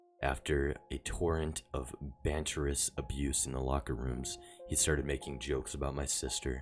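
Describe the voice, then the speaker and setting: Over music in the background, a man with a very deep, low pitch speaks in a monotone, flat delivery at a moderate pace. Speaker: story narrator. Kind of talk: horror story narration.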